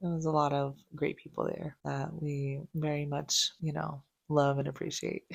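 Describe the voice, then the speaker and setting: A woman speaks quietly at a moderate pace. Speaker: vlogger and crafter. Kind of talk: casual vlog talk. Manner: quiet, talking low.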